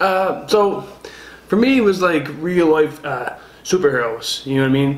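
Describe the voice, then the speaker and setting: With ordinary pitch variation, a man keeps a moderate pace as noticeable background noise plays behind him. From Newfoundland, Canada. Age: 20s. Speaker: pro wrestler. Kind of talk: interview. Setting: studio apartment. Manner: halting.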